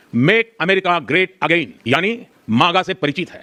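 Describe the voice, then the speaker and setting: A man's raised, projected voice comes through high-pitched with a bright, sharp tone in a dry, close sound with no echo. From India. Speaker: politician, head of government. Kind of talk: formal political speech. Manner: fast, without pauses.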